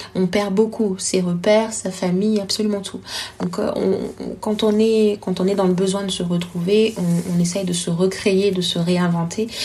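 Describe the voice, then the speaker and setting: A woman talks at a fairly slow pace with monotone, flat intonation. Noticeable background noise is present. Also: medium pitch for a woman. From Congo. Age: 20s. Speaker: storytelling consultant and entrepreneur. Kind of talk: interview. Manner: hesitant, many fillers.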